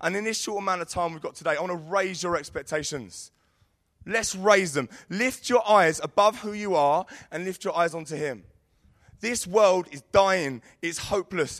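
A man with a London accent speaks at a moderate pace in a high pitch, his pitch varying in an ordinary way. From London, Sidcup. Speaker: youth leader. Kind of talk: sermon. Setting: stage with audience.

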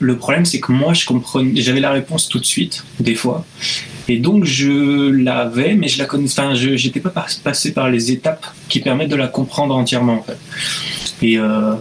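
Moderate pace and ordinary pitch variation, against noticeable background noise. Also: man, medium pitch for a man. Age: 20s. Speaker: illustrator. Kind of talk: casual interview.

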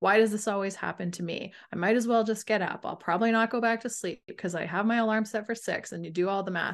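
In a plain, everyday voice, a woman talks at a fairly quick pace with fairly even intonation over a quiet background. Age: 50s. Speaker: sleep coach. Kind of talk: casual chat.

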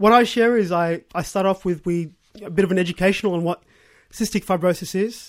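Speaking with an Australian accent, a man uses a high pitch in a very clean recording with a silent background. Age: 20s. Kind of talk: interview testimony. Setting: radio studio.

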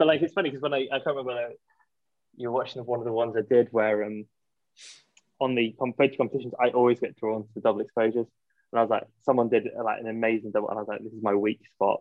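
This man speaks very fast at a medium pitch, in a Yorkshire accent, keeping his intonation fairly even. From Yorkshire, England. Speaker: film photography shop owner. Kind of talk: casual interview chat.

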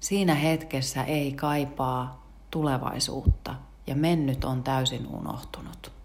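A woman speaking at a very slow pace amid noticeable background noise and audible room echo. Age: old. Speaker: podcast host and yoga teacher. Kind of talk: casual morning talk on mindfulness. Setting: home kitchen.

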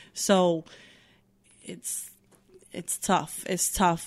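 Monotone, flat intonation from a woman with a fairly low pitch at a fairly slow pace. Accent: American. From New York (Bronx, Yonkers, Newburgh). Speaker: bartender. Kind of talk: casual chat.

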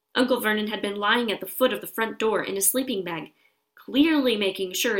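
Over a quiet background, a passage is read aloud in a natural voice, pitch varying in an ordinary way.

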